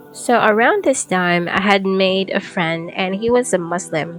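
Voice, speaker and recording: With music in the background, a woman with an American accent speaks at a fairly slow pace and fairly low pitch, with ordinary pitch variation. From United States. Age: 20s. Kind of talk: personal testimony narration.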